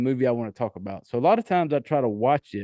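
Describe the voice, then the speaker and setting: A man talks very fast in a Southern US accent, at medium pitch with a dark, mellow tone. The sound is dry and close, with no echo. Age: 40s. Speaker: horror movie podcast host. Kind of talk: casual podcast monologue. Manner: loud.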